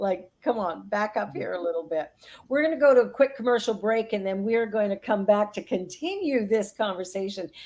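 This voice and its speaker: A woman speaks at a medium pitch with ordinary pitch variation, in a normal speaking voice. The recording is very clean, with a silent background. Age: 60s. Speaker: minister and talk show co-host. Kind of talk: casual chat.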